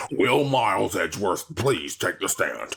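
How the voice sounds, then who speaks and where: A man growls in a put-on character voice at a moderate pace. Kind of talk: video game voice acting. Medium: game stream.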